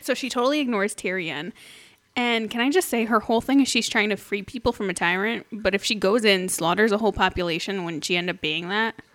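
A woman speaks very fast at a medium pitch with ordinary pitch variation. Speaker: podcast co-host. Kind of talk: casual chat.

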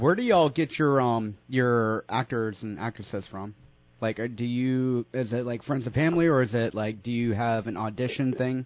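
A man speaks in an unremarkable speaking voice at a medium pitch, a moderate pace and ordinary pitch variation. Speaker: radio co-host. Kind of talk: casual chat. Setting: studio.

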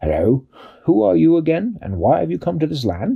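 A man performs a put-on character voice at a fairly quick pace. His pitch swings very widely. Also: medium pitch for a man. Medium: read story.

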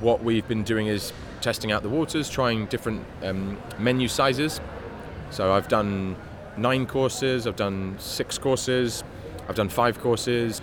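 Medium-pitched man at a moderate pace with ordinary pitch variation, over noticeable background noise. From London, Hackney. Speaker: chef. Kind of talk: interview. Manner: halting.

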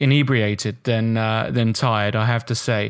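In a very clean recording with a silent background, the speaker uses fairly even intonation and an English accent. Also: man. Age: 30s. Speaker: chess international master. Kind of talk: casual chat.

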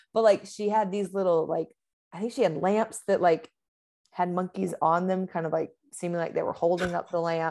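With an American accent, a woman talks at a moderate pace in a dark, mellow tone. Her intonation is fairly even. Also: medium pitch for a woman. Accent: Southern accent, comes and goes. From US South, Georgia. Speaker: podcast guest. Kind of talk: casual chat.

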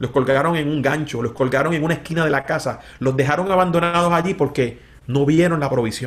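The tone is animated and the pace fairly quick. There is noticeable background noise. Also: man. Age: 50s. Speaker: pastor. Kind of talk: interview conversation.

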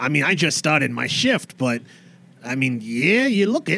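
A man puts on a character voice with a fairly high pitch, speaking at a moderate pace. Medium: actual play. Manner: casual, chatty.

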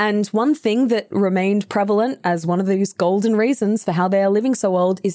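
A woman with an Australian accent speaks in a dark, mellow tone at medium pitch and a fairly quick pace, with ordinary pitch variation, on a very clean recording with a silent background. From Australia (New South Wales). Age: 20s. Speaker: voice actor and podcast host. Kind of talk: casual chat.

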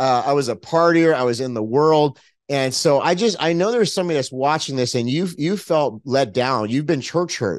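Against a quiet background, a man with an American accent and a fairly high pitch talks in an animated tone at a moderate pace, with lively intonation and hardly any pauses. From US, Los Angeles. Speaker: pastor and evangelist. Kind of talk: testimony.

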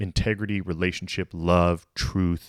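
On a very clean recording with a silent background and a dry, close sound with no echo, a man with a very deep, low pitch speaks at a fairly slow pace with fairly even intonation. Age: 30s. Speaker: pastor. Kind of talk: sermon. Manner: casual.

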